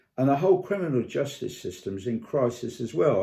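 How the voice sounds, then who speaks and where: Against a quiet background, a man speaks at a medium pitch and a fairly quick pace in a dark, mellow tone with ordinary pitch variation. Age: 70s. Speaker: vlogger. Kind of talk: personal video commentary. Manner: halting, many fillers and repetitions.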